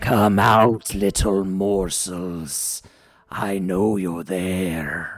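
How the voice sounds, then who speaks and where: Putting on a character voice, a man speaks very slowly in a very deep, low pitch while music plays in the background. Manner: menacing.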